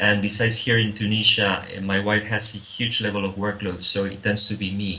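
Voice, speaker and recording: A man's fairly low voice with a Spanish accent, at a moderate pace, amid noticeable background noise. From Spain. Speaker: social consultant and business developer. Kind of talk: interview answer.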